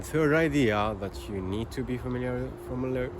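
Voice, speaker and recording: Speaking at a moderate pace, a man has a non-native accent. His pitch swings very widely. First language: not English. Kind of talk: casual talk to camera. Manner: hesitant, halting.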